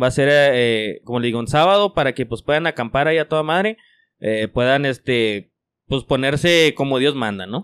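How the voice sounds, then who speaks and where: Lively intonation from a man at a moderate pace. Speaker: motorcycle club member. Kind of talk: casual chat. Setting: motorcycle club garage.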